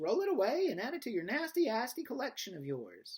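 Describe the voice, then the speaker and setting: A man puts on a character voice pitched extremely high, with very wide pitch swings. He talks at a fairly quick pace. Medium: read story. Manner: repeats words in quick stutters.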